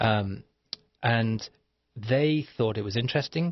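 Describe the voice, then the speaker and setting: A man's fairly low-pitched voice comes across somewhat breathy, with ordinary pitch variation. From Liverpool, England. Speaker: author. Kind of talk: interview. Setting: radio studio. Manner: halting.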